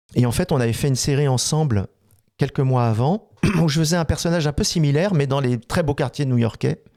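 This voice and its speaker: The man's dark, mellow tone comes across dry and close with no echo on a very clean recording with a silent background. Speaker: voice actor. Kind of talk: interview. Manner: hesitant, many fillers.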